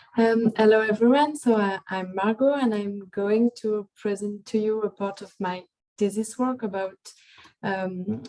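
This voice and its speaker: A woman with a French accent speaks at a fairly slow pace, her fairly high voice dark and mellow in tone with fairly even intonation. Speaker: psychologist. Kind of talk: webinar presentation.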